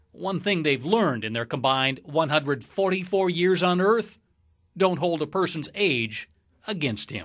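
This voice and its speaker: A man in a plain, everyday voice speaks with a fairly high pitch and lively intonation at a moderate pace against a quiet background. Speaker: TV news reporter. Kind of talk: TV news report narration.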